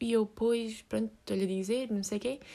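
A high-pitched woman's voice with a European Portuguese accent. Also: very clean recording, silent background. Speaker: podcast host. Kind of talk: solo monologue. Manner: halting, many fillers.

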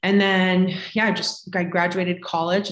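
A woman with an American accent speaks in a fairly low pitch at a moderate pace. She has a normal speaking voice. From Florida. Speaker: holistic health coach. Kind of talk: casual chat.

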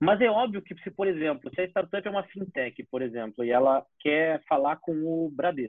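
Speaking at a moderate pace, a man with a fairly high pitch uses lively intonation and big swings in loudness. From Porto Alegre, southern Brazil. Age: 20s. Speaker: startup accelerator manager. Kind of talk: casual chat. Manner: halting.

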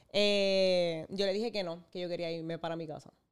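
On a very clean recording with a silent background, a woman has an ordinary speaking voice at a medium pitch with ordinary pitch variation. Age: 30s. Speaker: content creator. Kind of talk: testimony.

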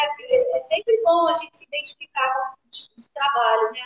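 A woman at a moderate pace in a dry, close sound with no echo. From Rio de Janeiro, Brazil. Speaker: ballet teacher and school owner. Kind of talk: live-stream interview.

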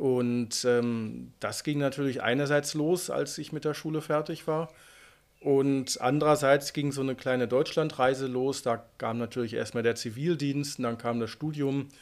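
Heard in a very clean recording with a silent background, a normal speaking voice moves at a fairly slow pace with fairly even intonation. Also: man, fairly high pitch for a man. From Unna, Westphalia, Germany (Ruhr area). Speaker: Arctic guide and author. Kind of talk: casual interview.

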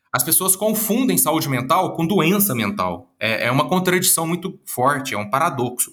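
A man with a bright, sharp, fairly high voice and vocal fry swings his pitch very widely while keeping a moderate pace. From Minas Gerais, Brazil (Uberlândia, Triângulo Mineiro). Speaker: psychologist and speaker. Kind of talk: interview.

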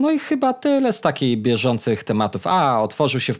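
A very clean recording of a man's voice against a silent background. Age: 30s. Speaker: podcast host. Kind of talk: casual chat.

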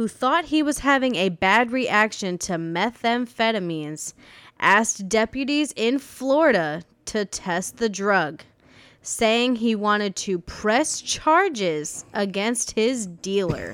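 Against a very clean, silent background, a woman speaks at a very slow pace. Her fairly high voice moves in very wide pitch swings. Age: 30s. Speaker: podcast co-host. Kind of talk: reading aloud; casual chat.

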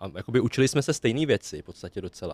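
A man talks at a very fast pace and medium pitch. The recording is very clean with a silent background and a dry, close sound with no echo. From Czech Republic, western Bohemia (Klatovy area). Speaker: podcast guest from the Vietnamese community. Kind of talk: casual chat.

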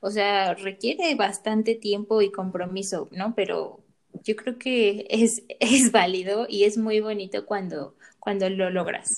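Fairly even in intonation, a woman at medium pitch talks at a very slow pace. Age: 20s. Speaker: psychologist podcast co-host. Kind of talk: casual chat.

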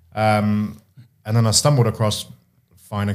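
With a British accent, a man speaks at a moderate pace and a fairly low pitch. The recording is very clean, the background silent. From UK. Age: 30s. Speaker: self-employed estate agent. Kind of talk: interview.

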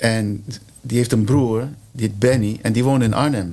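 A man at a moderate pace and medium pitch, in a plain, everyday voice. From Curaçao. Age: 60s. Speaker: percussionist. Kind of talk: casual chat.

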